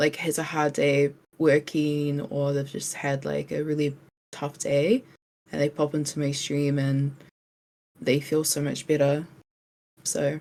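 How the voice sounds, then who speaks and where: A woman with a New Zealand accent speaks in a very deep, low pitch with a dark, mellow, relaxed tone. Her delivery is fairly slow and monotone, with flat intonation and long, frequent pauses. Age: 20s. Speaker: streamer. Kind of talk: interview.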